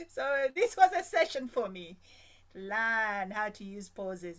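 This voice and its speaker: With an unremarkable speaking voice, a woman speaks fairly slowly at a fairly high pitch, her intonation lively. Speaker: club member. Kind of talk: thank-you remarks.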